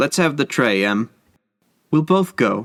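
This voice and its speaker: In a put-on character voice, a man speaks at a fairly slow pace and medium pitch with very wide pitch swings, on a very clean recording with a silent background. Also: dry, close sound with no echo. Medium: read story. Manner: nervous, hesitant.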